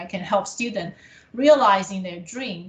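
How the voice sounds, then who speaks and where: Over noticeable background noise, a woman with a non-native accent talks at a moderate pace and medium pitch. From abroad, came to Canada as international student. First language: not English. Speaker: college administrator in international education. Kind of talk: interview. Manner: halting with fillers.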